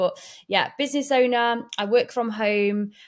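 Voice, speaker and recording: With an East Midlands accent, a woman speaks with ordinary pitch variation. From Derbyshire, English Midlands. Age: 30s. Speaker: business owner and mum. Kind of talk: podcast interview. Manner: animated, chatty.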